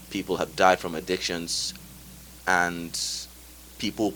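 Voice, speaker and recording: Speaking at a fairly slow pace, a man with a very deep, low pitch and vocal fry keeps his intonation fairly even. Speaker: guest speaker on addiction. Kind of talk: casual chat.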